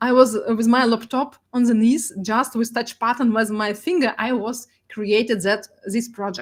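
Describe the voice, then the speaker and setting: A woman with a Russian accent, at a moderate pace and with fairly even intonation. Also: fairly high pitch for a woman. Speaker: data artist. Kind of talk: presentation. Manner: halting.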